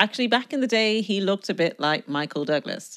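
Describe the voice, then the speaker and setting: A woman speaks with a Dublin accent and lively intonation. The recording is very clean, with a silent background. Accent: Irish (Dublin). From Ireland, Dublin. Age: 30s. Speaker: podcast host, relationship advice writer. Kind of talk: solo podcast monologue. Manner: conversational.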